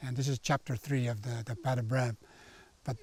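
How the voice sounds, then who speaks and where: The man's voice comes across somewhat breathy. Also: dry, close sound with no echo. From northern Quebec, Cree territory. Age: 70s. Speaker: Cree elder and forestry consultant. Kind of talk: documentary interview.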